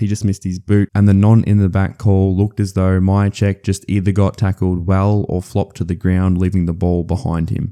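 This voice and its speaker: A man with an Australian accent, fairly low in pitch and dark, mellow in tone, with monotone, flat intonation at a fairly quick pace, in a dry, close sound with no echo. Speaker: footy analysis commentator. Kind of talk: sports analysis voice-over. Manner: casual, humorous.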